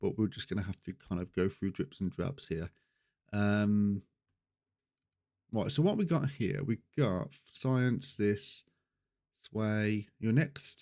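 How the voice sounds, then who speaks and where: Dry and close with no echo, a man speaks at a moderate pace with a fairly low pitch and a dark, mellow tone. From Birmingham, England. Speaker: gaming streamer. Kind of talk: live gameplay commentary. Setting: live stream. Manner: hesitant, many ums.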